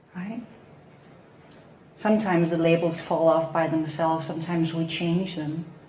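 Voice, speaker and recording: Audible room echo follows a woman speaking at a moderate pace and a fairly low pitch. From Denmark. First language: Danish. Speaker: psychotherapist. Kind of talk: talk on spiritual teaching.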